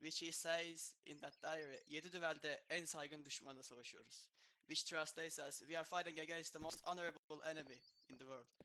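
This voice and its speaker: Speaking in a Turkish accent, a man delivers a bright, sharp tone at a fairly quick pace and fairly high pitch, his intonation monotone and flat. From Turkey, Çanakkale. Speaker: gamer at a memorial event. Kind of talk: memorial speech.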